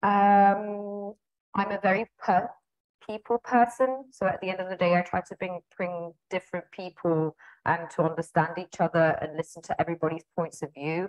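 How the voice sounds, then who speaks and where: A woman at a moderate pace and medium pitch, ordinary pitch variation, quiet background. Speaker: head of marketing. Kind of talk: casual interview. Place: office. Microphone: earbuds.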